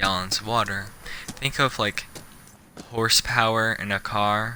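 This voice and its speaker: Against background music, a man talks with a fairly low pitch. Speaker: gaming streamer. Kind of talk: casual gameplay chat. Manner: slow; halting.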